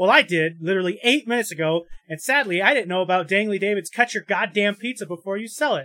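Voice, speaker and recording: A man with a high pitch talks in a raised, projected voice at a very fast pace, his tone bright and sharp with lively intonation. The recording is very clean with a silent background, and the sound is dry and close with no echo. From South Dakota. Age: 30s. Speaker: podcast host. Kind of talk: comedic mock ad read.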